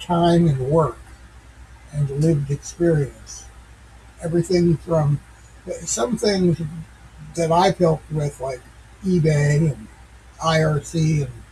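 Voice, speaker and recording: Speaking very slowly with long, frequent pauses, a man uses a fairly high pitch and fairly even intonation. Noticeable background noise runs underneath. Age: 60s. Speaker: tech commentator / channel owner. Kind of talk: casual monologue. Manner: halting, many fillers; unpolished.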